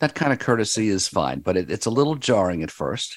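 On a very clean recording with a silent background, a man speaks with vocal fry. His pitch swings very widely. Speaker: radio show host. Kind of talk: casual interview. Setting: talk radio studio.

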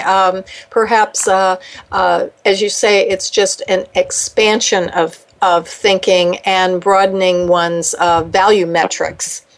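Noticeable background noise sits behind the speaker. She is a woman talking at medium pitch. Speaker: radio talk show host. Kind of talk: interview. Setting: radio studio.

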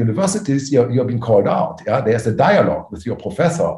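Noticeable background noise sits behind a man with a German accent. His fairly high voice swings very widely in pitch. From Germany. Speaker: private equity executive. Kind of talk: interview. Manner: halting, many fillers.

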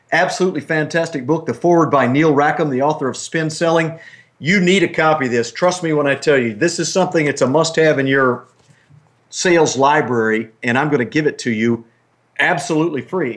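A man's fairly high voice with ordinary pitch variation, a fairly quick pace and a plain, everyday voice. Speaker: radio host. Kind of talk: radio interview.

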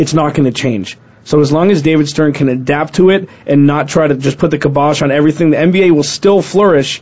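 A man with an unremarkable speaking voice talks at a fairly quick pace, his pitch fairly high for a man and his pitch variation ordinary. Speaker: sports talk co-host. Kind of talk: casual chat.

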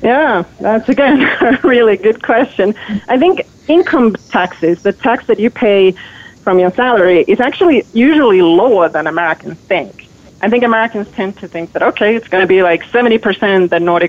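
Lively in intonation and fairly quick, a woman with a Finnish accent speaks at medium pitch. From Finland. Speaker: author and journalist. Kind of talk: radio interview.

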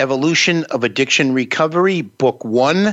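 A man's lively intonation carries a plain, everyday voice along at a moderate pace. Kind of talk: live talk-radio hosting, conversational. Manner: relaxed, friendly, chatty with filler words.

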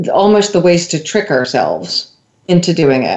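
A woman with a fairly low pitch talks at a fairly slow pace, with ordinary pitch variation and an ordinary speaking voice. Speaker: radio host. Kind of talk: radio interview, host questioning guest.

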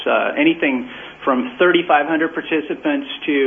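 With an American accent, a man speaks at a fairly high pitch and a fairly slow pace. His intonation is lively, and there is noticeable background noise. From US Midwest (south central Kansas, Illinois). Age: 30s. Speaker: documentary filmmaker and Civil War reenactor. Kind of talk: radio interview.

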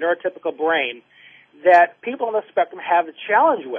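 A man speaks in a high pitch with ordinary pitch variation. His pace is fairly quick. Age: 30s. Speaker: clinical social worker and author. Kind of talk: radio interview.

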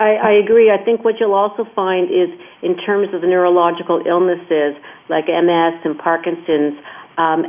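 This woman's pitch is fairly low and her intonation fairly even. She speaks at a moderate pace. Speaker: person living with ALS. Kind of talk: interview conversation. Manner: halting, repeating phrases.

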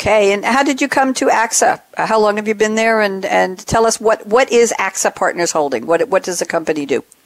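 A woman talks at a fairly quick pace and a fairly high pitch. Her intonation is lively. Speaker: podcast host and moderator. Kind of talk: business talk show interview. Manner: animated, enthusiastic.

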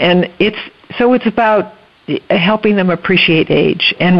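This woman talks at a fairly slow pace. Background noise is noticeable throughout. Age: 70s. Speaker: retired educator and grandmother. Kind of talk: interview.

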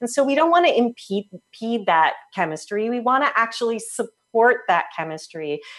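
Pitched fairly high, a woman with an American accent speaks at a moderate pace with very wide pitch swings and hardly any pauses. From US Northeast (New Jersey). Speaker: health practitioner. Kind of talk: interview.

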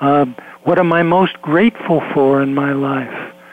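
A man speaks against noticeable background noise. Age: 70s. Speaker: psychologist and author. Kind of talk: radio interview.

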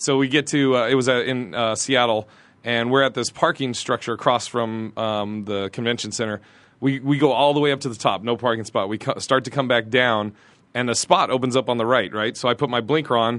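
With fairly even intonation and a medium pitch, a man speaks fairly quickly in an ordinary speaking voice. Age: 40s. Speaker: comedian. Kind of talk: casual chat.

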